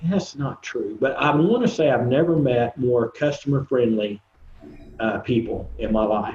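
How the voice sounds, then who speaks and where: A man talks with an Oklahoma accent at a fairly slow pace. His intonation is lively. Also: medium pitch for a man. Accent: Oklahoma accent, noticeable. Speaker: composer and recording artist. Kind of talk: casual interview chat. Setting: video podcast. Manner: halting, many fillers.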